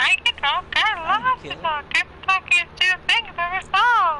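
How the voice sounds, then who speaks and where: An extremely high, squeaky, put-on character voice at a moderate pace, over light background noise. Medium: game stream. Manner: exaggerated, jokey.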